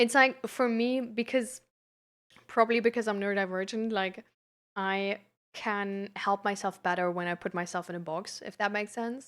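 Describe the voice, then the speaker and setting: The very clean recording, with a silent background, captures a woman at a medium pitch speaking at a moderate pace with fairly even intonation. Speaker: live streamer and peer support coach. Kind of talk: casual live stream chat. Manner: hesitant, many fillers.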